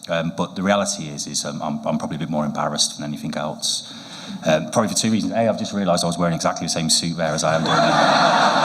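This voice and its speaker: With a British accent and a very deep, low pitch, a man talks at a very fast pace with ordinary pitch variation, over noticeable background noise and audible room echo. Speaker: award winner, team leader. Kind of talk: acceptance speech. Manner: halting, many fillers.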